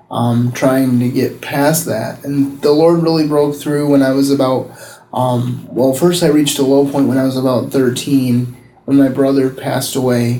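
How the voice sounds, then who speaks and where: Audible room echo surrounds a man speaking at a moderate pace. His medium pitch stays monotone, with flat intonation. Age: 30s. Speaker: pastor. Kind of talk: testimony. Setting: public library.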